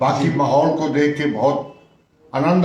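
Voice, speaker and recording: There is noticeable background noise and audible room echo as a man speaks at a fairly high pitch. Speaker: retired bank clerk, former student. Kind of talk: interview. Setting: school headmaster's room.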